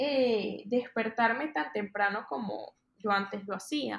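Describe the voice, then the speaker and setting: Fairly high-pitched woman's voice with a Venezuelan accent and ordinary pitch variation. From Venezuela, Maracay. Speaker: fashion influencer. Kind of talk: casual interview.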